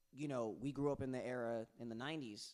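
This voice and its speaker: A man with a New York accent. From New York, Bronx. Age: 30s. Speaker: singer and rapper. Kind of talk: casual chat.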